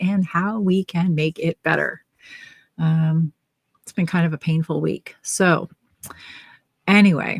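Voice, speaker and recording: In a plain, everyday voice, a woman with fairly low pitch speaks at a fairly slow pace with fairly even intonation, the sound dry and close with no echo. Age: 60s. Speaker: knitting podcast co-host. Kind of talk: casual chat. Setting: livestream video chat.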